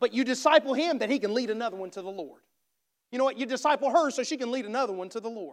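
This man has a strong Southern US accent and an extremely high pitch. He talks at a very fast pace. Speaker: missionary preacher. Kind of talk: sermon. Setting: church.

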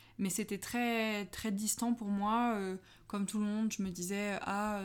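On a very clean recording with a silent background, a woman speaks at a medium pitch in a flat monotone. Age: 20s. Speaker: art director in packaging design. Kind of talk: casual interview.

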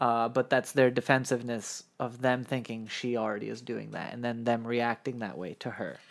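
This is an ordinary speaking voice with fairly even intonation at a moderate pace. It flows with hardly any pauses over a very clean, silent background. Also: man, medium pitch for a man. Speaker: podcast co-host and producer. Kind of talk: casual chat, recap podcast. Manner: laughs often, casual.

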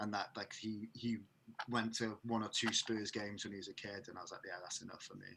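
In a bright, sharp tone, a man talks at a fairly quick pace with monotone, flat intonation. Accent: South Wales. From Wales, the valleys (Merthyr Tydfil). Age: 30s. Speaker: rock band vocalist. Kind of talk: casual chat.

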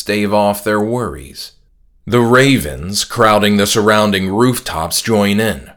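Fairly even intonation over plain reading aloud

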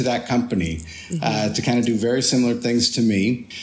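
There is noticeable background noise behind this man. His pitch is medium and varies in an ordinary way. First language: Spanish. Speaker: tour guide and photographer. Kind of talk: casual interview. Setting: video call.

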